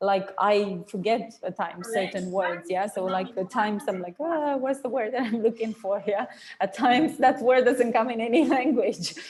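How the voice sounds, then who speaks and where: The speaker has a non-native accent and a moderate pace. There are hardly any pauses. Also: woman, fairly high pitch for a woman, ordinary pitch variation. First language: not English. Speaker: online course instructor. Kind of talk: online class teaching. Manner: casual, filler-heavy.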